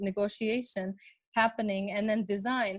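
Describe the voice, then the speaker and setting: This woman's voice is somewhat breathy and pitched fairly high. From Lebanon. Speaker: designer and urbanist. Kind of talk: webinar presentation. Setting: online webinar. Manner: halting, many fillers.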